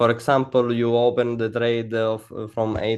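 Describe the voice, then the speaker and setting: A man speaks with an Italian accent at a medium pitch. His pace is fairly slow. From Italy. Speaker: funded trader. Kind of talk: interview. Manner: halting, many fillers.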